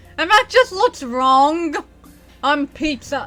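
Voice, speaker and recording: Over music in the background, a woman uses a raised, projected voice at an extremely high pitch and a fairly slow pace. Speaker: gaming streamer. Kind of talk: casual chat. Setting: home bedroom. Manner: words blend together.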